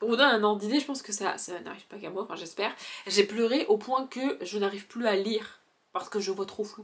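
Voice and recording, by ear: Putting on a character voice, a woman talks very fast at a medium pitch, hoarse and with big swings in loudness.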